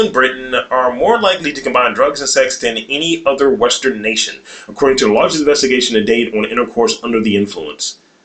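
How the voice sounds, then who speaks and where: A man's voice swings very widely in pitch. Noticeable noise sits in the background. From West Baltimore. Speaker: podcast co-host. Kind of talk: casual comedic banter.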